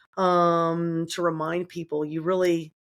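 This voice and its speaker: Her pitch fairly low, a woman speaks with monotone, flat intonation. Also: very clean recording, silent background. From US South, New Orleans. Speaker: colorectal surgeon. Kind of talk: podcast interview.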